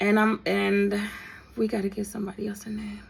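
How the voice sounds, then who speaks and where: Her voice is somewhat breathy, a woman's at a medium pitch. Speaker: storyteller, content creator. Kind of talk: storytime monologue. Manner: casual, conversational; halting.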